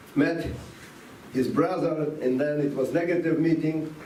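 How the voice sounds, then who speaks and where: A man talks slowly-ish, at a fairly slow pace, in a fairly high pitch with a non-native accent. Audible room echo and noticeable background noise accompany him. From Latvia (Riga), Soviet Union. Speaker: rabbi, former refusenik. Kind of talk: talk to students, personal story. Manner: halting.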